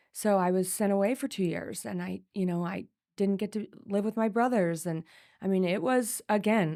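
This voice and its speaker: In a very clean recording with a silent background, a woman speaks at medium pitch and a moderate pace, with ordinary pitch variation and a dark, mellow tone. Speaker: podcast guest, real estate agent and women's advocate. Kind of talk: personal testimony in casual interview. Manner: animated, repetitive false starts.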